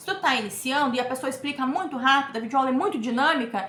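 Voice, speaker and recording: A woman speaks in a raised, projected voice with a high pitch at a very fast pace. Noticeable background noise runs under her. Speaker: crochet teacher / YouTuber. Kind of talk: tutorial. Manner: casual, chatty.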